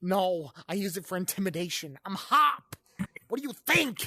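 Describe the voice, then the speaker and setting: The voice is a put-on character voice. It stays at a middle pitch. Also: moderate pace. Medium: game stream. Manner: loud, frantic, overdramatic.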